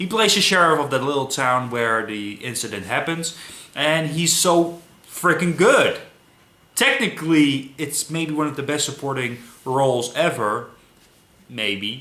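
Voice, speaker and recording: With a non-native accent, a man speaks at a moderate pace in a fairly high pitch and lively intonation, with audible room echo and noticeable background noise. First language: not English. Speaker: movie reviewer. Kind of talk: casual film review monologue. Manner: halting, many fillers.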